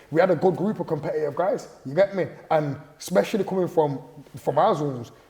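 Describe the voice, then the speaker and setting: A man's animated, very fast speech with ordinary pitch variation amid noticeable background noise. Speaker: rapper. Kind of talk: casual interview storytelling. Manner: animated, repetitive fillers.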